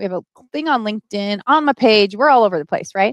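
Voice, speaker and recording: A woman talks in an animated tone with very wide pitch swings, her sound dry and close with no echo against a quiet background. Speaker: entrepreneur and business coach live streamer. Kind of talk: live stream Q&A. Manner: fast.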